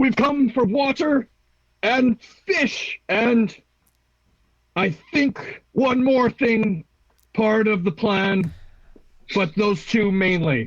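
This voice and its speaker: In a put-on character voice, a man speaks very slowly at a high pitch, leaving long, frequent pauses. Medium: actual play. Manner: literal.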